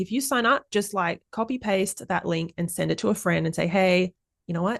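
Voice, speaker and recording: The sound is dry and close, without any echo. The woman has an Australian accent. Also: quiet background. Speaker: parenting podcast host. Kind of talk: casual interview chat; podcast outro. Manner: animated.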